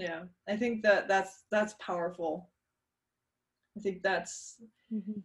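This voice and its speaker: A woman speaks very slowly at a medium pitch, leaving long, frequent pauses. Her voice is somewhat breathy, with monotone, flat intonation. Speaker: podcast host. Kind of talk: casual interview.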